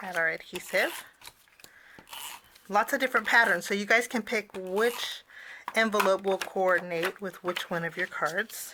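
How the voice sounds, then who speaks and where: A woman's medium-pitched voice with ordinary pitch variation, a moderate pace, long, frequent pauses and noticeable background noise. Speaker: cardmaking instructor. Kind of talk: tutorial. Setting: on camera, online class.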